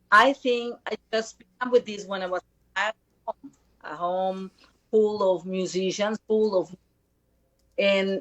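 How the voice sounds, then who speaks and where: At a fairly slow pace and with ordinary pitch variation, the speaker talks in a Spanish accent with a dry, close sound and no echo. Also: woman. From Costa Rica. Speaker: singer-songwriter. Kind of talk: interview. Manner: halting. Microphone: connection problems.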